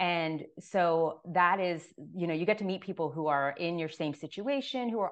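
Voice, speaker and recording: Against a quiet background, a woman with an American accent uses an unremarkable speaking voice, fairly low in pitch, at a moderate pace with ordinary pitch variation. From Florida, Miami. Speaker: author. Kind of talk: interview. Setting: video call.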